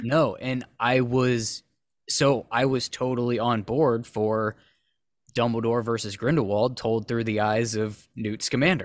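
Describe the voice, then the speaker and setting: A man with a plain, everyday voice speaks at a medium pitch and a fairly slow pace, his intonation fairly even, on a very clean recording with a silent background. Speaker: podcast host. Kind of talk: casual chat.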